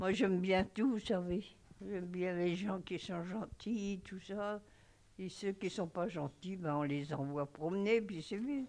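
A woman talks very slowly at a medium pitch, her pitch varying in an ordinary way. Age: old. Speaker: nursing home resident. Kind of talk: interview testimony.

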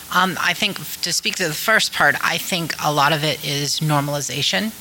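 The speaker has an American accent and a fairly quick pace. Noticeable background noise can be heard. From Ohio, Wooster. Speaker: filmmaker. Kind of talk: panel discussion. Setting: stage with audience.

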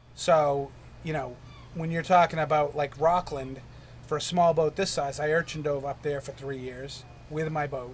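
A man with an American accent speaks at a moderate pace in a fairly high, somewhat breathy voice. His intonation is monotone and flat. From New Hampshire, US. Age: 50s. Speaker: urchin diver and lobsterman. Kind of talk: interview. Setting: on a wharf.

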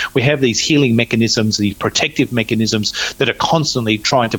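A medium-pitched male voice with an Australian accent and fairly even intonation. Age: 50s. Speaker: natural medicine practitioner. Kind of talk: interview. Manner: halting, many fillers.

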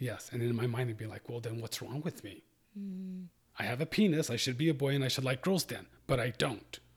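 A man with a somewhat breathy voice speaks at a moderate pace and medium pitch, his intonation lively, in a very clean recording with a silent background. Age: 50s. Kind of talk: interview.

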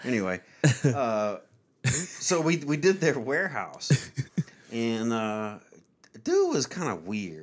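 A man speaks with very wide pitch swings. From Louisiana. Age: 40s. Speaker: podcast host. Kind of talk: casual chat.

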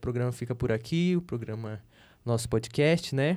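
On a very clean recording with a silent background, a man talks at a moderate pace. His tone is dark and mellow, and his pitch varies in an ordinary way. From Upper Solimões, Amazonas, Brazil. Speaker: podcast host. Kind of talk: casual interview chat. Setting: studio.

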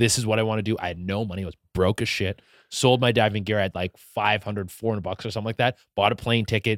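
A man with a slight Canadian accent and fairly low pitch, very fast pace with hardly any pauses and fairly even intonation, on a very clean recording with a silent background, dry and close with no echo. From Canada, Vancouver area. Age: 30s. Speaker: comedian, content creator. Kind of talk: casual chat.

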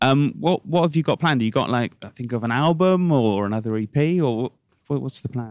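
A man talks at a fairly quick pace with hardly any pauses, in an unremarkable speaking voice of medium pitch and lively intonation. The sound is dry and close, with no echo. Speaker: radio interviewer. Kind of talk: radio interview.

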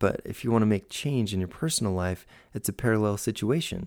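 On a very clean recording with a silent background, an unremarkable speaking voice in an American accent talks at a medium speed. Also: man. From US West, Utah and California. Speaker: architect and podcast host. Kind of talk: podcast monologue. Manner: casual, friendly.

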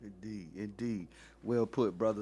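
A man with a fairly low pitch and a dark, mellow tone talks at a fairly slow pace on a very clean recording with a silent background. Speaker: podcast host. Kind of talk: casual interview. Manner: energetic.

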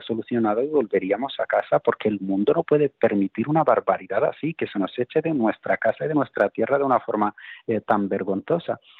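Lively intonation marks a man's speech at a fairly quick pace. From Spain. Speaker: political activist. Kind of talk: interview. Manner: halting, with repetitions and fillers.

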